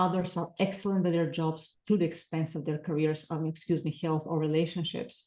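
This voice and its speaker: A woman with a non-native accent talks at a fairly quick pace in a fairly low pitch, her tone dark and mellow and her intonation fairly even. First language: not English. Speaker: author and life coach. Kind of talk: podcast interview. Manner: hesitant fillers.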